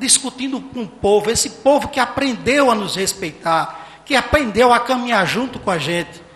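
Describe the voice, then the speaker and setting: A man talks at a moderate pace with lively intonation. There is audible room echo and noticeable background noise. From Salgueiro, Pernambuco, Brazil (Sertão). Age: 50s. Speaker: mayoral candidate, physician. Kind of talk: campaign debate speech. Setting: municipal council chamber with audience, broadcast on radio and internet.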